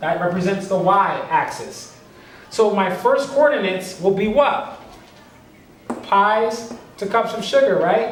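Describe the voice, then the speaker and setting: With a high pitch and ordinary pitch variation, a man speaks at a fairly slow pace, leaving long, frequent pauses. Audible room echo and noticeable background noise fill the recording. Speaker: teacher. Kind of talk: tutorial.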